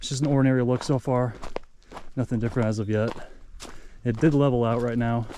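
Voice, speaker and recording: Here a man with a medium pitch talks very fast, using fairly even intonation. His speech has long, frequent pauses. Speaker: hiking vlogger. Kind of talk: casual vlog narration while hiking. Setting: outdoors on a mountain trail. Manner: soft-spoken.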